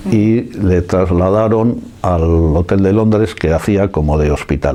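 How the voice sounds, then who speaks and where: A man with a very deep, low voice talks at a fairly slow pace, his pitch moving in an ordinary way. His loudness stays very even over noticeable background noise. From San Sebastián, Basque Country, Spain. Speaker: oral history witness. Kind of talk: interview answer.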